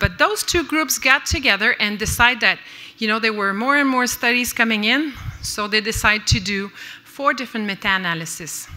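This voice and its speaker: Speaking fairly quickly in a Quebec French accent, a woman with a fairly high voice shows ordinary pitch variation amid noticeable background noise. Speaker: nurse researcher and lecturer. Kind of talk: conference lecture. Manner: halting, with many fillers.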